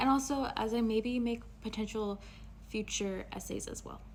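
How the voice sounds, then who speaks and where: Somewhat breathy speech from a woman, intonation fairly even throughout. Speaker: video essayist. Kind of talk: unscripted video essay. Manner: halting, many fillers.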